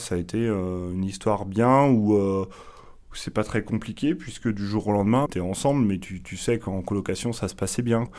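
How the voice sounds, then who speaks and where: This man has a fairly low pitch with ordinary pitch variation and a moderate pace. The recording is very clean, with a silent background. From Pays de la Loire, France. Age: 30s. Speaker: interviewee on dating podcast. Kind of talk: confessional interview. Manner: hesitant, many fillers.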